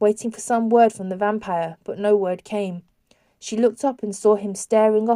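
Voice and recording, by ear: Someone is reading aloud in a natural voice. The intonation stays fairly even against a quiet background.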